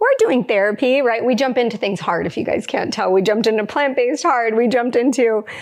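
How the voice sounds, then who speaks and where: A woman speaks at a fairly quick pace in a fairly high pitch, with ordinary pitch variation and an unremarkable speaking voice. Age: 30s. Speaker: integrative dietitian and podcast co-host. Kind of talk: podcast conversation, personal story. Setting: live podcast with studio audience.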